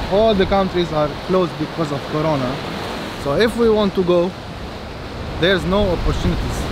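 A man talks at a fairly quick pace, with a dry sound and no echo. Noticeable background noise sits behind him. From Lebanon. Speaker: local resident. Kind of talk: street interview. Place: beach. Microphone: phone near.

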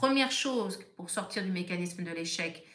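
Her pitch varies in an ordinary way. The woman keeps to a moderate pace. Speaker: therapist. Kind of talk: live stream talk.

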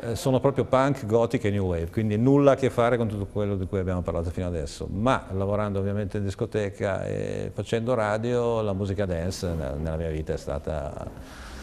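Over light background noise, a man with a fairly low pitch speaks at a moderate pace. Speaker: radio host, DJ, guest. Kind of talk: interview. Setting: studio. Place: studio. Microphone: lapel.

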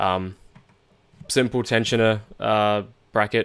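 The audio is very clean, and the background is silent. This man's intonation stays fairly even. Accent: Australian. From Australia. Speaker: car parts designer. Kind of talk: tutorial. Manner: halting, with fillers.

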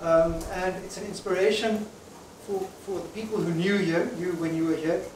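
A man with a high pitch and fairly even intonation speaks at a moderate pace, with audible room echo and light background noise. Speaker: company founder and speaker. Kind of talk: celebration speech to an audience. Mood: warm, grateful. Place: hall.

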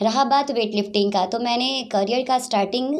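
A woman talks in a high pitch with ordinary pitch variation at a moderate pace. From Bihar, Saran (Chapra); Bihar. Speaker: weightlifter and yoga champion; yoga instructor. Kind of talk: interview. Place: home room. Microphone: handheld.

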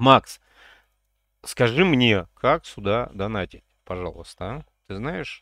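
Over a quiet background with a dry sound and no echo, a man talks at a very slow pace in a bright, sharp tone, with lively intonation and big swings in loudness. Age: 50s. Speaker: gaming streamer. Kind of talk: gameplay livestream chat. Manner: animated.

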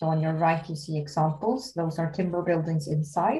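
A woman's somewhat breathy voice, fairly low in pitch, with a dark, mellow tone, a moderate pace and a Swedish accent. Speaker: construction company R&D head. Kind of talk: presentation.

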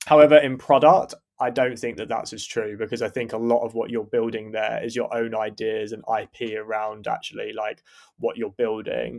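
At a moderate pace, a man speaks in an unremarkable speaking voice with a medium pitch. His intonation is fairly even, though his loudness swings widely. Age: 30s. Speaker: engineering manager. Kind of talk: casual interview.

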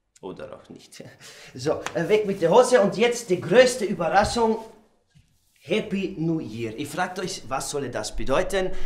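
In a calm, serious tone, a man with a high pitch speaks fairly slowly, with big swings in loudness and audible room echo. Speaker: comedian. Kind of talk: comedy sketch monologue. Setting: studio, showing clothes to camera with an assistant. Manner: mock-calm, slow and faux-serious, playing up a clumsy pseudo-Spanish persona.

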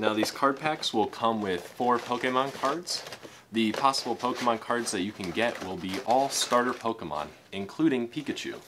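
There is noticeable background noise in this clip. A man speaks over it at a moderate pace. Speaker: unboxing video host. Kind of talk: casual unboxing commentary. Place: home room.

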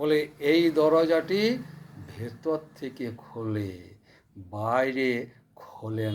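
A man's medium-pitched voice moves in very wide pitch swings. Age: 70s. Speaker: spiritual storyteller. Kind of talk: informal moral talk.

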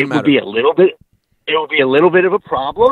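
Speaking at a very fast pace, a man with a strong Long Island accent has a fairly high pitch and lively intonation. The sound is dry with no echo, over a quiet background. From Long Island, New York. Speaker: teacher, podcast supporter calling in. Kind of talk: casual podcast banter. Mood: joking, playful. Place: studio. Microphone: handheld.

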